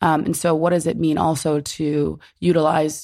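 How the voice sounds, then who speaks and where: A woman's very deep, low voice with vocal fry and a New Jersey accent, at a fairly slow pace on a very clean recording with a silent background. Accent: American, New Jersey. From New Jersey, US. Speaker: writer and curator. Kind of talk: interview conversation.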